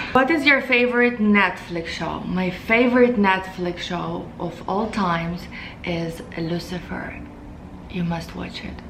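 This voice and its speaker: A woman with a Russian accent at a fairly slow pace, medium pitch and ordinary pitch variation, big swings in loudness, audible room echo and noticeable background noise. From Moldova. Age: 20s. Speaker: beauty vlogger. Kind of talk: casual Q&A vlog.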